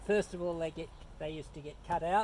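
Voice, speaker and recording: A man speaks with a New Zealand accent. His pitch is high. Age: 70s. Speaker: woodworker. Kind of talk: tutorial. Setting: outdoors. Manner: halting, many fillers; loud.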